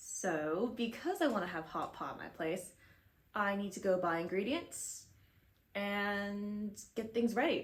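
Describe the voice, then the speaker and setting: In an American accent, a somewhat breathy woman speaks fairly slowly at a medium pitch with ordinary pitch variation, in audible room echo. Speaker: crochet vlogger. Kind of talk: casual vlog chat. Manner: chatty, rambling with fillers.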